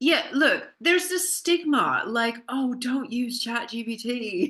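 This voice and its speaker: Bright and sharp in tone, a woman's raised, projected voice swings very widely in pitch. She speaks at a very slow pace. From Canada. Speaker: business consultant and intellectual property specialist. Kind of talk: podcast interview answer.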